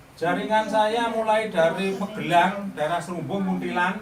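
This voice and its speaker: The room echo is audible. Background noise is also noticeable. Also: man. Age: 60s. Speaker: lawyer and social advocacy movement leader. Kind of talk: speech at certificate ceremony. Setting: beauty salon event with audience.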